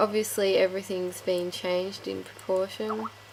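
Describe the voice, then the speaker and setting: A woman speaks at a moderate pace in a medium pitch with ordinary pitch variation, over noticeable background noise. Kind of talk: casual game tutorial talk.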